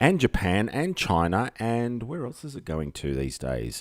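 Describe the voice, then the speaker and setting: A man with an Australian accent speaks at a moderate pace, his pitch swinging very widely. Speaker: live streamer. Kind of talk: casual live stream chat. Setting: home live stream. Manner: rambling, hesitant with fillers.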